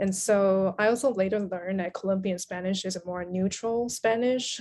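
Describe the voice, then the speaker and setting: A woman with a Chinese accent speaks with fairly even intonation. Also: medium pitch for a woman, moderate pace. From Taiwan. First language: Mandarin Chinese. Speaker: writer and translator. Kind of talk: interview conversation.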